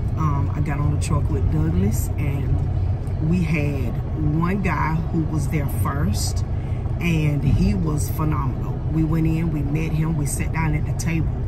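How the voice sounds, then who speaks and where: A woman at a fairly slow pace amid loud background noise. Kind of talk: casual vlog review. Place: car. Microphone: phone near.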